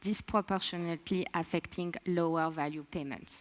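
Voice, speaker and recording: In a French accent, a woman talks at a fairly slow pace with a medium pitch and ordinary pitch variation. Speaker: presenter of a report on remittances. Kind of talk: formal, report-reading.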